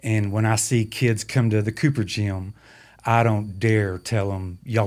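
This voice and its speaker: Fairly even intonation and an American accent come through on a very clean recording with a silent background. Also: man. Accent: strong country. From Texas, San Angelo. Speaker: basketball clock operator, former coach. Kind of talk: podcast interview.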